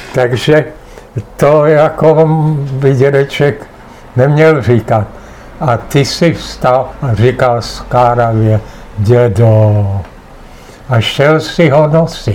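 A man's medium-pitched voice, very slow with long, frequent pauses, ordinary pitch variation and very even loudness, over noticeable background noise. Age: 80s+. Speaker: retired teacher and writer. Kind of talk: family interview. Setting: home apartment.

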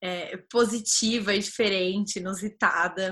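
A woman speaks at a fairly slow pace with a bright, sharp tone. The background is quiet. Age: 20s. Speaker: podcast host, community founder. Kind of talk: casual chat.

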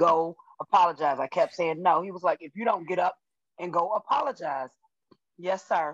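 The speech moves at a fairly quick pace, broken by long, frequent pauses, with big swings in loudness. Pitch variation is ordinary, and the sound is dry and close with no echo. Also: woman, fairly low pitch for a woman. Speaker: Bible study participant. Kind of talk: testimony. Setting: video call.

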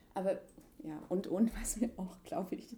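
A woman at a fairly slow pace. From eastern Germany (Leipzig). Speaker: interviewee, contemporary witness. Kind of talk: casual conversation. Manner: halting, many fillers.

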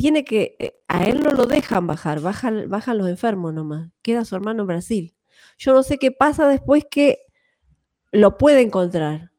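Her tone dark and mellow, a woman with a fairly high pitch talks at a fairly slow pace, with very wide pitch swings. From Argentina, Buenos Aires province (Benito Juárez). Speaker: musician. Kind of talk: casual chat.

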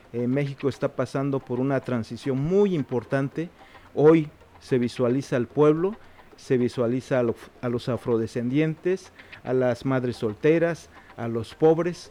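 In an Oaxacan accent, a man speaks at a fairly slow pace. His pitch sits at a medium level with ordinary variation. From Mexico, Juchitán, Oaxaca. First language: Zapotec (speaking Spanish). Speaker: writer and poet. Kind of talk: interview.

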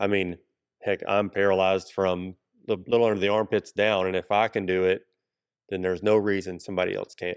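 A man's fairly low voice with an Appalachian accent, fairly quick and flat in a monotone. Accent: US South (Appalachian Tennessee). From Kingsport, northeast Tennessee. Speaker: gym owner. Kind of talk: casual interview.

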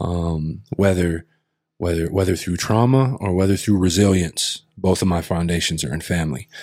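This man has a very deep, low pitch and an American accent. He speaks at a moderate pace with ordinary pitch variation. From Colville reservation, eastern Washington, US. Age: 30s. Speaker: storyteller and hip hop artist. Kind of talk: casual interview chat. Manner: animated, repetitive restarts.

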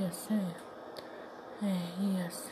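The speech comes at a very slow pace with noticeable background noise. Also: woman. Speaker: podcast host and aspiring writer. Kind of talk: unscripted solo monologue. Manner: halting, many fillers; louder after adjusting.

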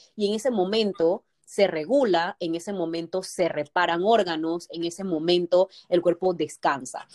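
Speaking at a fairly slow pace, a woman has a fairly low pitch and ordinary pitch variation. The sound is dry and close, with no echo. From Panama, Colón. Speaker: nutritionist. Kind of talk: podcast interview.

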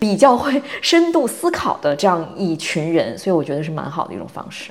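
A woman with an unremarkable speaking voice talks at a fairly quick pace. Her pitch is medium and her intonation lively. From China. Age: 40s. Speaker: podcast host, content creator. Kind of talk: casual chat.

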